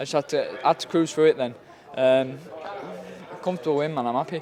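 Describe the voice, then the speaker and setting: Noticeable background noise surrounds a man speaking very fast at a fairly high pitch. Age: 20s. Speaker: professional boxer. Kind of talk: post-fight interview. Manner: halting.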